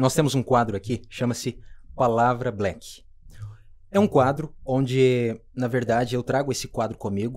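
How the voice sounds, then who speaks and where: A man with a medium pitch shows ordinary pitch variation while talking at a moderate pace. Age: 30s. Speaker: podcast host. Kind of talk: casual interview. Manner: animated.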